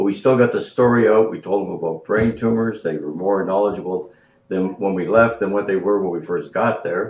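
Against audible room echo, a man speaks at a fairly low pitch with fairly even intonation. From Canada. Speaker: foundation co-founder and bereaved parent. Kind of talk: casual reminiscing conversation. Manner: halting, many fillers. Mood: proud, warm. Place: home room. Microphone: camera far.

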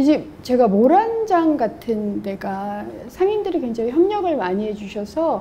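A woman speaks at a high pitch with very wide pitch swings. Her pace is fairly slow, and there is light background noise. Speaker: guest. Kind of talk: interview answer. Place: hall. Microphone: lapel.

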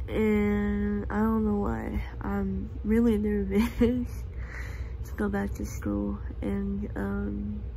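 Very slowly, a woman talks in a very deep, low voice against light background noise. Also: ordinary pitch variation. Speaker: student vlogger. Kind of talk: casual vlog chat. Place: home room. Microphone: phone near.

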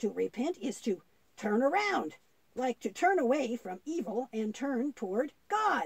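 In a cartoonish character voice, the pitch sits fairly high and makes very wide swings at a moderate pace. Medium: puppet show. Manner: gentle, teaching.

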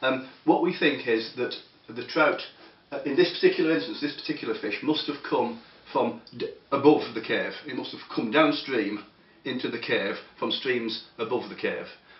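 Over audible room echo, a man speaks at a moderate pace with big swings in loudness. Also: ordinary pitch variation. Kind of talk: interview answer. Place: office. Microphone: camera far.

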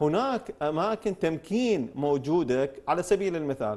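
A man with a fairly high pitch and very wide pitch swings. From Iraq. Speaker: member of parliament; talk show guest. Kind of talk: TV talk show debate. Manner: formal. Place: studio. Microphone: lapel.

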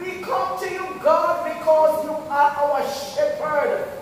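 A woman at a very slow pace, amid strong room echo and light background noise. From Jamaica. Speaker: church member leading prayer. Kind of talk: fervent congregational prayer, intense and pleading. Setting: church. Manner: impassioned, rhythmic, pleading with exclamations of praise. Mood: earnest, fervent. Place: church. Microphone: camera far.

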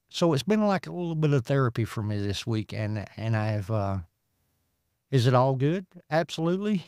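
In a Southern US accent, a man at medium pitch speaks at a moderate pace with very wide pitch swings and long, frequent pauses, captured in a very clean recording with a silent background and a dry, close sound with no echo. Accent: Southern US (Georgia). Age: 50s. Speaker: former addict sharing recovery story. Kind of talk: testimony.

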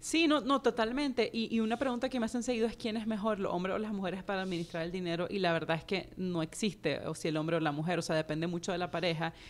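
Rushing at a very fast pace with hardly any pauses, a woman speaks with lively intonation. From Nicaragua. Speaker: personal finance educator and author; personal finance educator. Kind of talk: interview. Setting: studio. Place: studio. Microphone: studio mic.

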